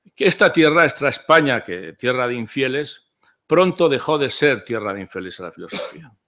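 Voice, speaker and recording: A man's bright, sharp voice with vocal fry and very wide pitch swings at a moderate pace over a quiet background. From Spain. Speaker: philosopher's disciple; speaker. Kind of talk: conference talk. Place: hall. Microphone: podium.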